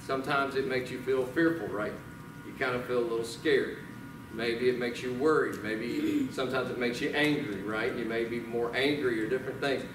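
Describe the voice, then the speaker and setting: A man in a Southern US accent at a fairly quick pace, fairly even intonation, and noticeable background noise. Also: medium pitch for a man. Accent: Southern US (Georgia). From US South. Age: 40s. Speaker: pastor. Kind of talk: sermon. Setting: church. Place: church.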